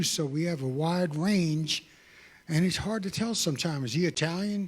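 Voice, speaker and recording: With an American accent, a man speaks in a fairly high voice with ordinary pitch variation, captured on a very clean recording with a silent background. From New York. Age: 60s. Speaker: testimony speaker. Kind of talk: testimony.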